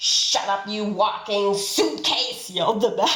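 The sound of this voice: The voice is unforced. It reads the text aloud.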